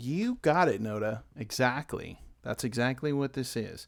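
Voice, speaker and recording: Mumbled speech at a fairly slow pace, with ordinary pitch variation, on a very clean recording with a silent background. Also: man. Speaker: illustrator live-streaming painting. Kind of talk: live painting stream commentary. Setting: home studio, late at night. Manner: quiet, kept down to not wake family; mumbling a little.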